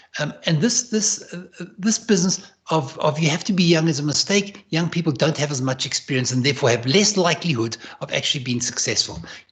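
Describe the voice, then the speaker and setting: Over noticeable background noise, a man with a fairly high voice speaks at a fairly quick pace, his intonation lively and his delivery almost free of pauses. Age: 60s. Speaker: leadership advisor and entrepreneur. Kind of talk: interview. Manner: halting, with many repetitions.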